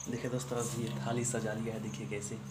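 A man speaks fast in a flat, monotone delivery at a fairly low pitch, with loud noise in the background.

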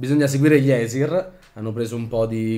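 With fairly even intonation, a man talks at a moderate pace. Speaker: role-playing game player. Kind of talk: tabletop role-playing game session. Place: home room. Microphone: camera far.

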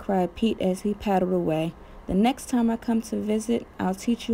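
The text is being read aloud. Nothing about the voice sounds unnatural.

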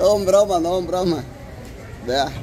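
Faint crowd noise and faint background noise sit behind a man whose high-pitched, slightly mellow voice moves at a fairly slow pace with ordinary pitch variation.

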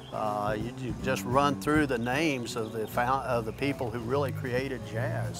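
Clear music plays behind a man speaking at a fairly slow pace. The sound is dry, with no echo. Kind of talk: interview answer. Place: street.

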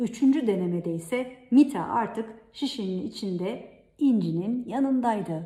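A natural reading voice comes through with lively intonation.

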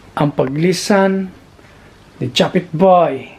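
A man talks with ordinary variation in pitch, and noticeable background noise can be heard. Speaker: vlogger. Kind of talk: casual vlog narration.

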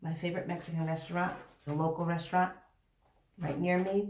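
Her voice sits fairly low for a woman, with audible room echo and light background noise around it. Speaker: mukbang vlogger. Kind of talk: casual vlog chat.

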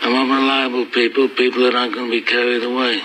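Man's flat, monotone delivery over light background noise. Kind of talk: dramatic film dialogue. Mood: quiet, grave, reproachful. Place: office.

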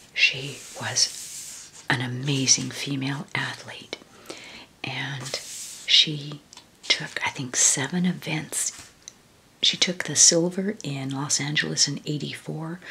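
Soft-spoken and gentle in tone, a woman talks at a very slow pace with a very deep, low pitch and fairly even intonation over light background noise. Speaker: book flip-through narrator. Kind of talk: casual reminiscing commentary. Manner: soft-spoken, gentle ASMR voice. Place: home room. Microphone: phone near.

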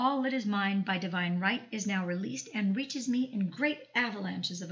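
In a normal speaking voice, a woman talks at a fairly high pitch with lively intonation. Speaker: audiobook narrator and channel host. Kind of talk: audiobook reading of a self-help text, affirmations.

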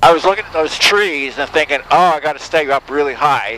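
The voice has ordinary pitch variation, with a dry, echo-free sound and light background noise. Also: man. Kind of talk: flight lesson debrief. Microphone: headset.

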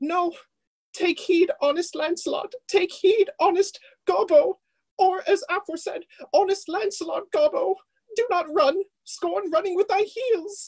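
A put-on character voice with an extremely high pitch moves at a fairly slow pace. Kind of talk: comic Shakespearean clowning. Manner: playful, rambling, comic.

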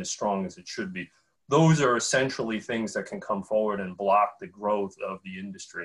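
Against a quiet background, a man speaks at a fairly low pitch with ordinary pitch variation. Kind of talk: panel discussion remarks. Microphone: webcam.

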